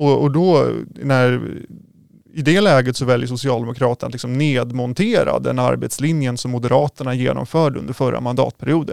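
A man speaks at a fairly quick pace in an ordinary speaking voice. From Sweden, Roslagen near Norrtälje. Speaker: local politician. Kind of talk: political interview.

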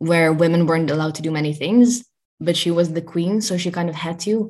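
Speaking with a Dutch accent, a woman uses a fairly low pitch that varies in an ordinary way. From Netherlands. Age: 20s. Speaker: journalist and content creator. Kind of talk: interview.

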